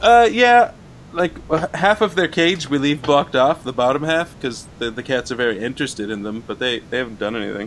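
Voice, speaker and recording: An unremarkable speaking voice, this man's medium pitch moves with lively intonation at a fairly quick pace. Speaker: co-host. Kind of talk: casual comedy chat.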